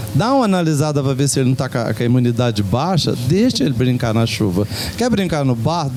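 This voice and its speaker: Against noticeable background noise and audible room echo, a man talks fairly quickly in an animated tone, his fairly high voice making very wide pitch swings. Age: 60s. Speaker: community radio program participant. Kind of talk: casual group chat on radio. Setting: radio program recorded at a local shop. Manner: animated storytelling.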